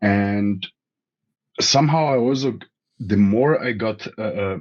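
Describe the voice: A man at a slow pace, with a fairly low pitch and ordinary pitch variation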